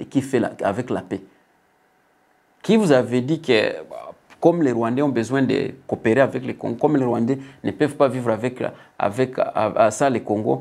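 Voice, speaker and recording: A man at a medium pitch with ordinary pitch variation and a fairly quick pace. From DR Congo. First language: not French (speaking French). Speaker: political commentator. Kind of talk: political commentary. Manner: halting.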